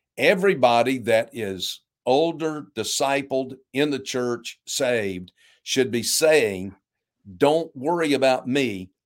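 A man speaks in a plain, everyday voice with a medium pitch and lively intonation. The recording is very clean, the background silent. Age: 60s. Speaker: pastor. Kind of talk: interview conversation.

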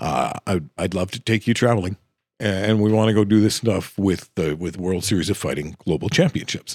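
A man talks at a fairly quick pace with a fairly low pitch and ordinary pitch variation. The sound is dry and close, with no echo. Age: 50s. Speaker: stadium PA announcer and voice talent. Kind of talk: casual interview chat. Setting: studio.

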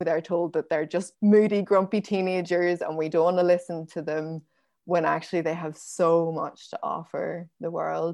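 A woman speaks in a Northern Irish accent, her pitch fairly low and her intonation monotone and flat. She talks at a fairly slow pace against a quiet background. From Northern Ireland, Belfast and County Down. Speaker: forager and nature educator. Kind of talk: interview conversation.

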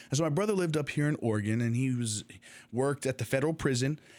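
A man speaks in an ordinary speaking voice at a medium pitch. His pitch varies in an ordinary way, in a very clean recording with a silent background. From Texas, Dallas; later Jordan. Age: 30s. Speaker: podcast host and university student. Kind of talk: casual monologue about personal history. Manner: chatty, with frequent fillers and restarts.

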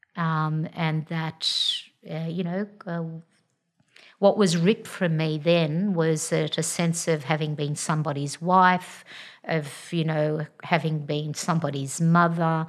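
At a very slow pace, a woman with an Australian accent talks in a very deep, low voice with fairly even intonation. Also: very clean recording, silent background. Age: 60s. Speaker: general practitioner. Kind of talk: interview, personal story. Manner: hesitant, many fillers.

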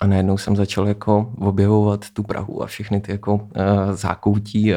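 This man has a dark, mellow tone and a fairly low pitch. He talks at a fairly quick pace with monotone, flat intonation. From Czech Republic, Vysočina region. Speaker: electronic musician. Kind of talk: casual interview. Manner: hesitant, many fillers.

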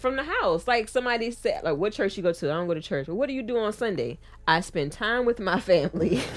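Her pitch swings very widely around a medium level as this woman talks very fast. Noticeable background noise runs underneath. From US South. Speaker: podcast co-host. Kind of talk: casual chat. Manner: hesitant, many fillers.

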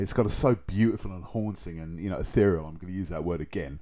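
A man with a British accent, very deep and low in pitch, a dark, mellow tone, ordinary pitch variation and a fairly quick pace. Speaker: music podcast co-host. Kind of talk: casual chat.

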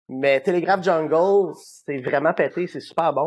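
A man with a plain, everyday voice, fairly high pitch, ordinary pitch variation, and a fairly slow pace. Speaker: rock musician. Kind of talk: interview.

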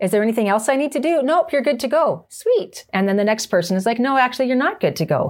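The woman's pitch is high, with very wide swings. She talks at a fairly quick pace. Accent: Canadian. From Canada. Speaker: motorcycle trainer. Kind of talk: casual chat. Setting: on location in Canmore.

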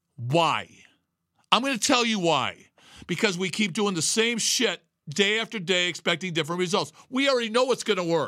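A man's raised, projected voice, high-pitched with a bright, sharp tone, is animated. His intonation is lively and his pace moderate. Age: 60s. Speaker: podcast host and fitness coach. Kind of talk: motivational talk. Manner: emphatic.

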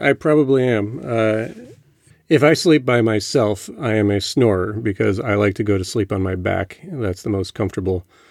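Here a man has a plain, everyday voice with a fairly low pitch. He talks at a moderate pace with ordinary pitch variation. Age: 40s. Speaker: podcast host's husband. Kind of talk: casual chat.

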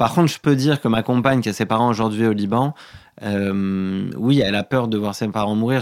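A man talks at a fairly low pitch with fairly even intonation. The recording is very clean, the background silent. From France, Paris. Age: 30s. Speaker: novelist. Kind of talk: interview. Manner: halting, many repetitions.

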